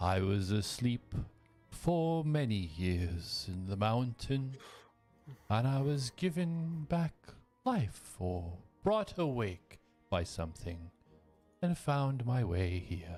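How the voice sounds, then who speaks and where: A man's put-on character voice at medium pitch, with very wide pitch swings, a very slow pace, long, frequent pauses and faint music in the background. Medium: actual play. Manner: formal, unhurried.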